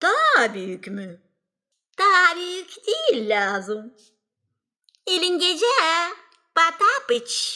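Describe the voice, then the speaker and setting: A cartoonish character voice moves at a very slow pace, broken by long, frequent pauses. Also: female-sounding voice, extremely high pitch for a woman. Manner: sly, wheedling.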